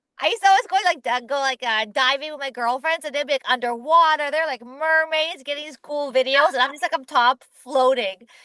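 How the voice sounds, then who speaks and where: A woman with a high pitch uses a raised, projected voice at a fairly quick pace. Her tone is animated, and the sound is dry and close with no echo. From Ukraine and Israel. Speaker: entrepreneur, company founder. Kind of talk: interview.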